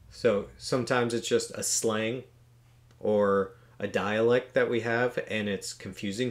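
Male speech, fairly slow. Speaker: beekeeper channel host. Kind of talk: casual vlog outro chat. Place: home room.

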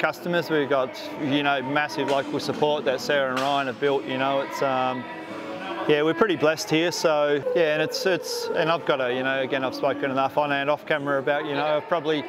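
Fairly quick speech from a man, clear music in the background. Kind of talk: interview answer. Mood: relaxed, joking. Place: factory.

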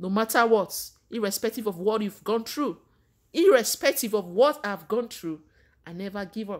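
A woman speaks with a Nigerian accent at a fairly high pitch. The background is quiet. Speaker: vlogger giving faith advice. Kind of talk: motivational sermon-like talk to camera. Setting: Canada. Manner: warm, preacherly. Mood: earnest, passionate encouragement. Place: home room. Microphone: phone near.

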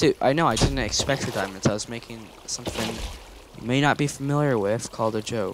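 Over noticeable background noise, a man with a medium pitch talks at a fairly quick pace with ordinary pitch variation. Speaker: gamer playing with friends. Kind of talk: casual gaming chat.

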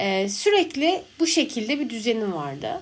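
A woman talks fairly slowly, her high voice swinging very widely in pitch. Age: 20s. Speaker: podcast host. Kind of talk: casual monologue.

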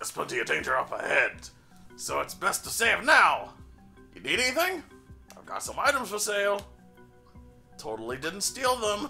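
A gruff, put-on character voice with a fairly high pitch speaks at a moderate pace, leaving long, frequent pauses. Music plays clearly in the background. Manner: gruff, weird.

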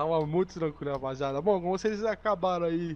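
A man with a high pitch talks fairly quickly, using ordinary pitch variation. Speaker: gaming co-host. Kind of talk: gameplay commentary with roleplay. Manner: animated.

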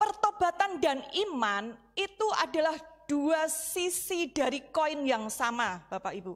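Very slow and high-pitched, a woman's voice moves through very wide pitch swings. The background is quiet. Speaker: Bible teacher. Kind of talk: Bible study lesson. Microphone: handheld.

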